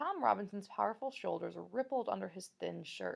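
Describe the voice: The speaker does a plain reading aloud.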